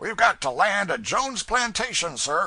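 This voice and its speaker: Raspy, high-pitched put-on character voice from a man, with lively intonation at a moderate pace. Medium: read story. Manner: folksy, offhand.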